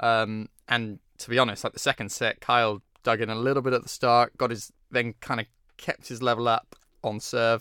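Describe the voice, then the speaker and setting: A man speaks at medium pitch and a moderate pace with a British accent, his tone bright and sharp, his intonation flat and monotone. The recording is very clean and dry, close with no echo, over a silent background. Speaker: tennis journalist, podcast co-host. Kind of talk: casual chat.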